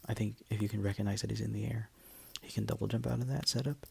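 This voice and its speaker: A man whispers at a very fast pace. His voice is quiet. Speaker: game coach. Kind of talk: video game match commentary. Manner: whispered; quiet, hushed.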